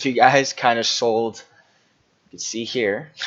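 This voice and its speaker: A man is speaking. His pace is very slow. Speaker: forex trading analyst. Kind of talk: screen-share market analysis tutorial. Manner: casual, halting with fillers.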